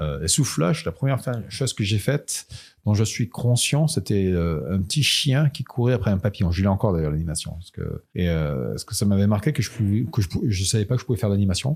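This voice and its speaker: Somewhat breathy and fairly low in pitch, a man talks at a fairly quick pace with very wide pitch swings on a very clean recording with a silent background. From France. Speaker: illustrator and animator. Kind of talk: interview. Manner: halting, many hesitations.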